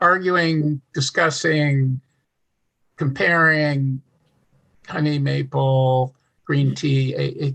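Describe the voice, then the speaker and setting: Recorded with a dry, close sound and no echo, a man with a fairly high pitch speaks at a very slow pace with fairly even intonation and long, frequent pauses. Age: 70s. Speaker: wellness host. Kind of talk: webinar chat.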